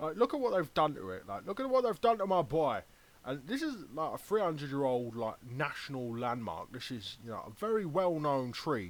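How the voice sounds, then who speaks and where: A man with a Cockney accent speaks in a fairly high voice, his pitch swinging very widely. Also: moderate pace. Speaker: YouTuber. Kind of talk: casual commentary. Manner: animated.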